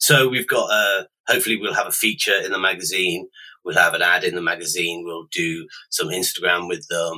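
At a fairly quick pace, a man speaks with a British accent. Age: 40s. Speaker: online retail founder. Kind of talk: interview. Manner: hesitant, with frequent ums.

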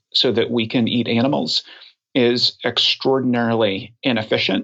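A man's normal speaking voice with an American accent, medium in pitch, at a moderate pace with ordinary pitch variation. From Oklahoma. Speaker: nonprofit leader and public speaker. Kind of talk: podcast interview.

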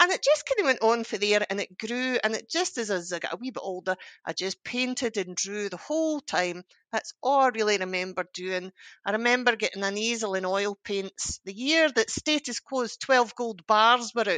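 A woman's bright, sharp voice in a Scottish accent, fairly high-pitched with lively intonation, at a moderate pace, with a dry, close sound, no echo and a quiet background. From Scotland, Ayrshire. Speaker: artist and art teacher. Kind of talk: interview.

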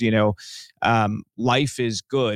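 A man speaks in a flat, monotone way. The sound is dry and close with no echo, on a very clean recording with a silent background. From US, Cuban-American family. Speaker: filmmaker. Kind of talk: interview.

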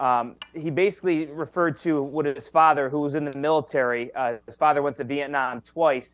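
Fairly high in pitch, a man talks with fairly even intonation in an unremarkable speaking voice. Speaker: sports reporter. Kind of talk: casual sports talk interview.

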